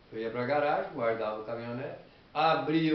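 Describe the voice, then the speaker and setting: Over noticeable background noise and audible room echo, a man speaks at a fairly quick pace in a medium pitch with ordinary pitch variation. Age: 70s. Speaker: retired farm technician giving life advice. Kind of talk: personal testimony and moral advice.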